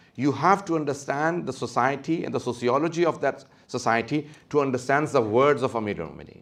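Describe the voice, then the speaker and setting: The intonation is lively. The pace is very fast. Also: man. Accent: non-native. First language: not English. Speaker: Islamic scholar. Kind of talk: lecture. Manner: hesitant, with fillers.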